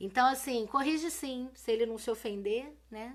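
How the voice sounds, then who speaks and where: Ordinary pitch variation runs through speech delivered at a moderate pace. Nothing much stirs in the quiet background. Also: woman. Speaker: teacher. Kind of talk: live-stream lesson. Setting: live video stream. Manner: casual, colloquial.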